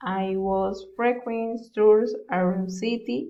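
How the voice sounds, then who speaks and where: Heard with audible room echo, a woman with a Colombian accent speaks very slowly at a fairly high pitch with ordinary pitch variation. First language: Spanish. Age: 20s. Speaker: university student. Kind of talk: self-introduction for English class. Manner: halting.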